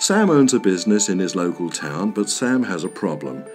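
A man talks while music plays in the background. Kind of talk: explainer video narration.

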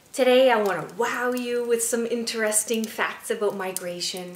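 Ordinary pitch variation comes through amid audible room echo. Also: woman. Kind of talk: informal educational talk. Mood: warm, cheerful, friendly. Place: home room.

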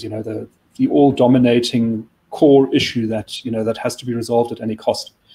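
At a fairly quick pace, a man speaks with a dark, mellow tone. His pitch is medium and his intonation fairly even. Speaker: think tank chief of staff; guest. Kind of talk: current affairs discussion. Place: office. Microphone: video call.

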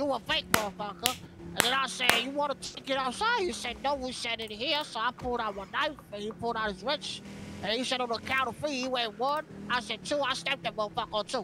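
A man's voice, raised and projected, sits at an extremely high pitch and moves at a very fast pace. Clear background noise runs underneath. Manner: boastful, slangy, dopey.

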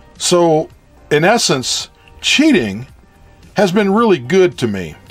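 Music plays in the background as the voice moves at a very slow pace with very wide pitch swings. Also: man, high pitch for a man. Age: old. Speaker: retired construction project manager and engineer. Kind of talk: personal anecdote narration.

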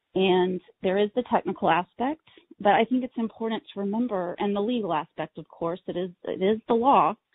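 In an ordinary speaking voice with an American accent, someone talks at a fairly quick pace with lively intonation. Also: woman. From Texas. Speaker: accessibility educator. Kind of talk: webinar presentation. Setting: online webinar.

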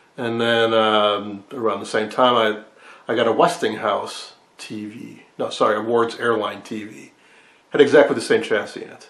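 Amid audible room echo, a man speaks at a moderate pace with fairly even intonation. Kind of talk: casual hobby vlog explanation. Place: workshop. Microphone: phone near.

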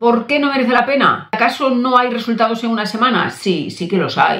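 A woman with a Spanish accent at a moderate pace, audible room echo over a quiet background. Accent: Peninsular Spanish. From Spain. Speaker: doctor and nutrition coach; nutrition coach. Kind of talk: casual talk to camera. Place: home room.

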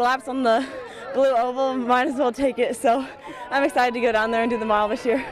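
A woman's high-pitched voice at a fairly quick pace, fairly even intonation, a dry sound with no echo, and crowd noise in the background. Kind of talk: interview answer. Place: stadium. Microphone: handheld.

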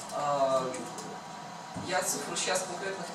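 A man speaks with audible room echo. Loud background noise is present. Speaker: hackathon participant. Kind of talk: project presentation. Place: meeting room. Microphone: camera far.

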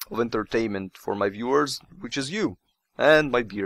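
A man speaks at a moderate pace with a medium pitch, ordinary pitch variation, and a fairly bright tone.

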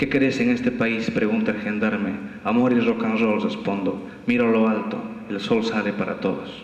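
A man talks at a moderate pace, and room echo can be heard. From Bolivia. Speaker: poet. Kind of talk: poetry reading at a festival, after a casual joking intro. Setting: stage with audience. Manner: rhythmic, staccato listing of images in the poem. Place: hall. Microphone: camera far.

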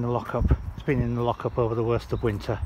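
Against noticeable background noise, a man's voice comes through in a dry sound with no echo. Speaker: bike seller. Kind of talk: casual product walkaround. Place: open country. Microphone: phone near.

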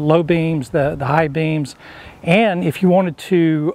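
A man speaks at a fairly slow pace. The sound is dry with no echo. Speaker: DIY video host. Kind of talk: tutorial. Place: garden. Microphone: lapel.

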